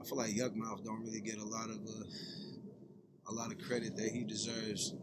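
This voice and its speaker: Fairly even intonation and an American accent come through audible room echo. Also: man. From San Francisco, Bay Area. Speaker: rapper. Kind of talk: casual chat.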